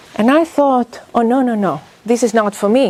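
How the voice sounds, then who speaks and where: A woman speaks in a Greek accent at a fairly high pitch. Noticeable background noise sits behind her. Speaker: business school professor. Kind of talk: workshop talk. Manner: animated.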